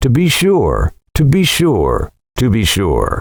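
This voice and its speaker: The voice is a put-on character voice with a wheezy sound. It moves at a fairly slow pace. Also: man. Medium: read story. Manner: good-natured, repetitive.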